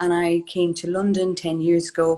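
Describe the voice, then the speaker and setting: Fairly low in pitch, a woman with an Irish accent talks at a fairly quick pace. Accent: Irish, clearly noticeable. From Ireland, County Kerry. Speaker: HR consultant, business owner. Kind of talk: live interview.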